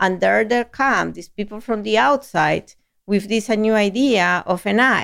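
With a Spanish accent, a woman talks at a fairly slow pace in a medium pitch with ordinary pitch variation. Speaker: chief marketing officer. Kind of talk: interview.

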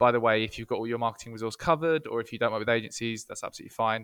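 The recording is dry and close, with no echo. A man talks in a medium pitch. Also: very clean recording, silent background. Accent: English. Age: 30s. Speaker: marketing agency co-founder. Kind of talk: casual interview.

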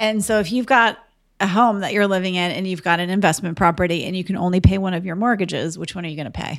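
A woman speaks at a very fast pace in a medium pitch, with ordinary pitch variation and big swings in loudness, on a very clean recording with a silent background. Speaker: podcast co-host and real estate investor. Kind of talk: casual conversational podcast discussion.

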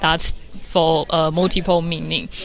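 A woman with a Taiwanese accent speaks at a fairly slow pace in a fairly low pitch. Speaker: environmental artist. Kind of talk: interview answers. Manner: halting.

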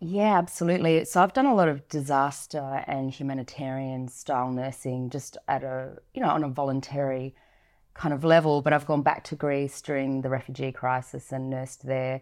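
In an Australian accent, a woman with a very deep, low pitch speaks at a moderate pace with fairly even intonation, on a very clean recording with a silent background. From Northern Territory, Australia. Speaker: nurse and paramedic. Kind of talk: interview. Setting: studio.

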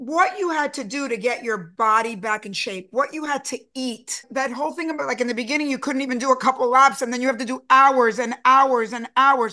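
This woman talks at a fairly quick pace with hardly any pauses, her raised, projected voice high-pitched, bright and sharp, with ordinary pitch variation. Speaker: podcast interviewer. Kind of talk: interview.

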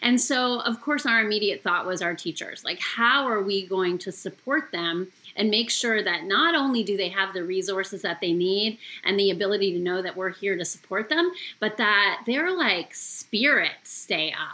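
With a Canadian accent, a woman speaks at a moderate pace and medium pitch, her intonation lively and her tone bright and sharp. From Canada. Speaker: former teacher, education community organizer. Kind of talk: podcast interview.

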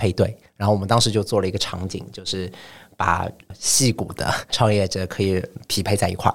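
A man speaks at a fairly low pitch in a monotone, flat intonation. The recording is very clean, with a silent background. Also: moderate pace. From China, Shanghai. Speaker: startup founder. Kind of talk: podcast interview.

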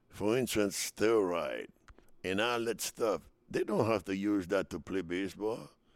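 A man with a Spanish accent speaks fairly slowly at a fairly low pitch, with fairly even intonation. The recording is very clean, with a silent background. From Dominican Republic. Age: 70s. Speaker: retired baseball player. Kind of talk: interview storytelling.

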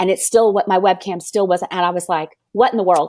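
With an American accent, a woman speaks at a medium pitch with ordinary pitch variation in an unremarkable speaking voice. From US South. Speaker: business coach. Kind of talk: interview. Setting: video call.

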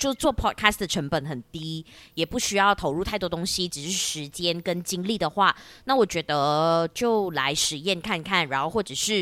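A woman with a fairly low pitch and a bright, sharp tone speaks at a moderate pace with lively intonation. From Malaysia. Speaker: podcaster with broadcasting background. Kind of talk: casual chat. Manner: radio-announcer style delivery.

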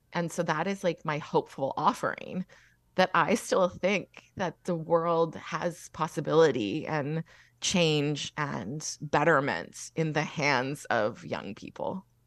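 In a Canadian accent, a woman talks at a very slow pace. Her pitch is very deep and low, with vocal fry. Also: ordinary pitch variation. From Alberta. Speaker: young adult novelist. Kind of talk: interview.

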